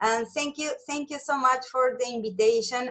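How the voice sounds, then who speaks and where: Here is a woman with a Spanish accent. Her pitch is high. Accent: non-native English, Spanish speaker. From Argentina. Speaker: nutritionist. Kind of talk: interview.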